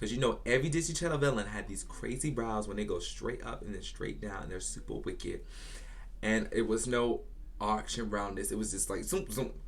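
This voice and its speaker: A man with an American accent, animated tone, and fairly quick pace, amid audible room echo. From Virginia, US South. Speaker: beauty YouTuber. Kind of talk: casual storytime vlog.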